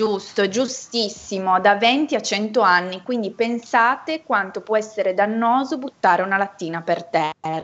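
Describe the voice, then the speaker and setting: A woman speaks in a normal speaking voice at a medium pitch with ordinary pitch variation. Her pace is fairly slow, with hardly any pauses. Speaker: association representative. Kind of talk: educational quiz. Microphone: unstable connection.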